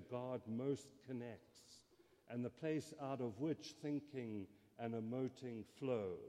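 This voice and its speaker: A man with a South African accent has a medium pitch and a dark, mellow tone. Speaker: theology scholar. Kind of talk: lecture. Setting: stage with audience.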